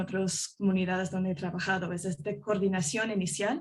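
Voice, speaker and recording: Somewhat breathy, a woman with a non-native accent speaks at a moderate pace and a medium pitch. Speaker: journalist. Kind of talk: panel discussion. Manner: halting, many fillers.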